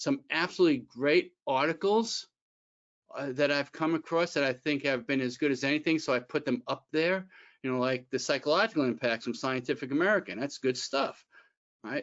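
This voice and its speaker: A man speaks fast-ish, at a fairly quick pace, in a normal speaking voice pitched fairly high, with ordinary pitch variation. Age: 60s. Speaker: employment attorney. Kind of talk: webinar presentation. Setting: online webinar. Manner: conversational, with fillers and restarts.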